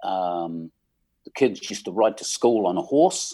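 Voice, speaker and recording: A man speaks with an English accent, his tone dark and mellow and his intonation lively. The recording is very clean, with a silent background. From England. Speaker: musician. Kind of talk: casual chat.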